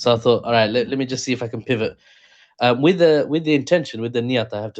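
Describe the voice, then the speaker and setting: Very fast speech with ordinary pitch variation, quiet background. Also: man. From East London, England. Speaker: political commentator. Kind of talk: podcast interview. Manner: casual, hesitant with fillers.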